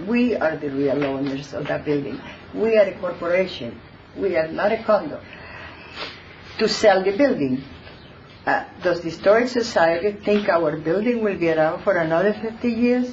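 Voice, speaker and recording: A woman of medium pitch speaks with lively intonation and long, frequent pauses. Audible room echo and noticeable background noise surround her. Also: moderate pace. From born abroad, immigrant to US. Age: 80s+. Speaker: resident speaking at public comment. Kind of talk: public comment at council meeting. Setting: town council meeting with audience. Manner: halting.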